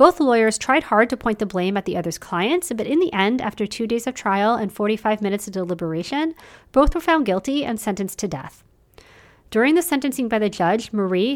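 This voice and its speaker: Lively intonation carries a plain, everyday voice that moves at a fairly quick pace. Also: woman. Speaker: podcast host. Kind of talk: true-crime narration, scripted storytelling. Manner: measured, steady, serious storyteller pace.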